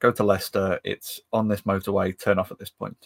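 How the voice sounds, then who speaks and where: Monotone, flat delivery from a man with a fairly low pitch and a Lancashire accent, dry and close with no echo, on a very clean recording with a silent background. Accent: northern English (Lancashire area). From northwest England. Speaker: podcast co-host, maker. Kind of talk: casual chat.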